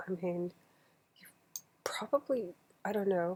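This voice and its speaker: A soft-spoken, somewhat breathy voice. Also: woman. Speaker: channel owner reading books aloud. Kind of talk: casual chat. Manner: relaxed, bedtime-story pace. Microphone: quiet recording level.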